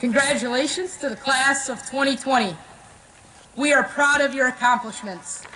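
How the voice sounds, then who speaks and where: With noticeable background noise and audible room echo, a woman projects a raised, high-pitched voice with fairly even intonation. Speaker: school administrator. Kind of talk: ceremony announcements. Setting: outdoor stadium, PA system. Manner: formal.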